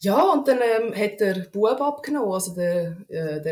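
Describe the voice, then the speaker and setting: This woman's voice sits at a medium pitch and makes very wide pitch swings. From Switzerland, canton Aargau. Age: 30s. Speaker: podcast guest. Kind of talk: casual interview conversation.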